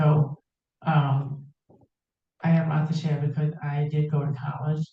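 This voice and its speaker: A man's dark, mellow voice comes across somewhat breathy, with monotone, flat intonation. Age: 60s. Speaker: deafblind support group member. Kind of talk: meeting discussion. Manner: halting.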